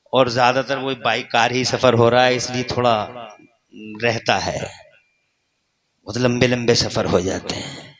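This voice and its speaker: A man at a medium pitch with monotone, flat intonation and long, frequent pauses. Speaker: Islamic preacher giving a sermon. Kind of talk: religious sermon to a live gathering. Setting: public address at a large religious gathering. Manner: fervent, rhetorical, speaking to the crowd.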